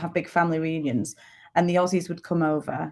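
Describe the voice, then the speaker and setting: A woman with a northern English accent talks at a very fast pace in a fairly low voice. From northern England, Lancashire. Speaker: dialect coach. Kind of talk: interview. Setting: live stream.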